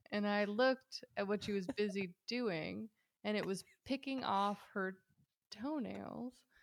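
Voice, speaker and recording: A woman with a normal speaking voice talks at a fairly slow pace and medium pitch, with ordinary pitch variation. The sound is dry and close, with no echo. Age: 30s. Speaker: podcast guest. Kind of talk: casual chat.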